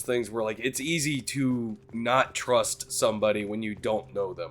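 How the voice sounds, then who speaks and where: Music plays in the background while a man at medium pitch speaks in a relaxed tone. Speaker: gaming streamer. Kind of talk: let's play commentary. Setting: live stream. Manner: casual, relaxed.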